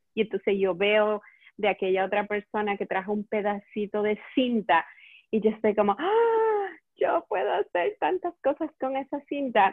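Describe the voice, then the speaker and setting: A woman with an unremarkable speaking voice and fairly high pitch, at a fairly slow pace. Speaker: eco-store owner and event organizer. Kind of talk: casual chat. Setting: Facebook Live video call.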